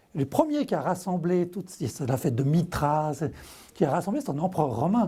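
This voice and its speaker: This man speaks at a moderate pace with a high pitch and lively intonation. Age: 60s. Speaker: author. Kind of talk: TV interview.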